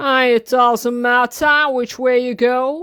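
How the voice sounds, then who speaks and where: A woman's put-on character voice, high in pitch and at a fairly slow pace. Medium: read story.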